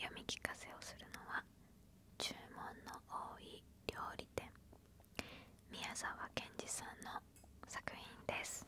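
A woman whispers in a gentle tone at a very slow pace, with long, frequent pauses. The sound is dry with no echo, though there is noticeable background noise. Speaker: ASMR storyteller. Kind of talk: soft story reading. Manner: gentle close whisper. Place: home room. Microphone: handheld.

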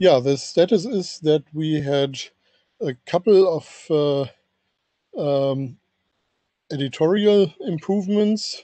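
Against a quiet background, a man speaks very slowly in a fairly high, dark, mellow voice with lively intonation and a dry sound with no echo. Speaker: standards engineer, document author. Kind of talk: technical working group meeting. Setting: video call. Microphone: video call.

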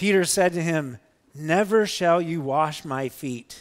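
Against a quiet background, a man speaks at a fairly slow pace. His pitch variation is ordinary. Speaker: pastor. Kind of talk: scripture reading in a sermon. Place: church.

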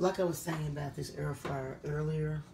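At a moderate pace, a dark, mellow tone holds fairly even intonation amid audible room echo. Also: woman, low pitch for a woman.

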